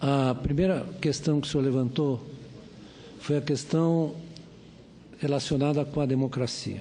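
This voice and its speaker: This man talks at a fairly slow pace with long, frequent pauses and a monotone, flat intonation. His pitch is fairly high, his loudness is very even, and room echo is audible. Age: 70s. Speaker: economist and professor. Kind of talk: testimony at hearing.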